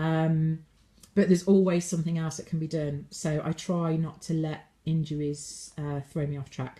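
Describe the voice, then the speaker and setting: A woman speaks at a moderate pace in a fairly low pitch, her tone dark and mellow and somewhat breathy. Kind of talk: refined, upper-class sounding.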